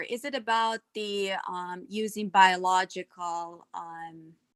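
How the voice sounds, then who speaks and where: A woman talks with hardly any pauses and big swings in loudness. The sound is dry and close, with no echo. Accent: non-native. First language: not English. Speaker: self-taught cybersecurity panelist. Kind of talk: casual panel discussion.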